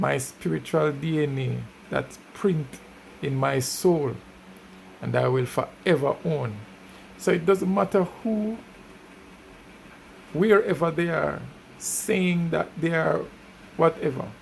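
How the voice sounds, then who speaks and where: Pausing long and often, a man speaks at a very slow pace in a fairly high pitch. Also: ordinary pitch variation. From Jamaica. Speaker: music reviewer. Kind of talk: casual commentary.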